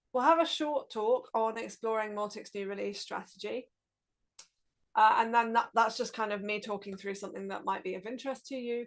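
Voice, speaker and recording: A woman with a British accent speaks at a fairly quick pace in a fairly high pitch, with ordinary pitch variation and big swings in loudness. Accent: English (UK). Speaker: open-source project lead. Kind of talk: presentation on a video call. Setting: video call, streamed.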